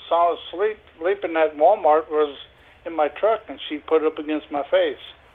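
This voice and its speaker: This man talks at a moderate pace in a high pitch. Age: 60s. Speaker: prank call target selling a lawnmower. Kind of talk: phone call.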